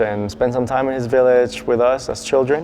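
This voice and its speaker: With fairly even intonation, a man talks at a medium pitch over noticeable background noise. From Mexico City, Mexico. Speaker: designer. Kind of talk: documentary interview.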